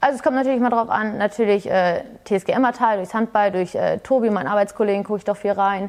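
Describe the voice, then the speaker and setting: A woman speaks very fast in a fairly high voice. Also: ordinary pitch variation. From Hameln, Lower Saxony, Germany. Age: 20s. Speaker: fitness studio employee and entrepreneur. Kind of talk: casual interview. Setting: fitness studio.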